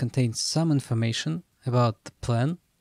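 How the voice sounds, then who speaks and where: A man at medium pitch with a dark, mellow tone and fairly even intonation is heard in a dry, close sound with no echo. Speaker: programming streamer. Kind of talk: live coding tutorial. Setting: home room. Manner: hesitant, many fillers.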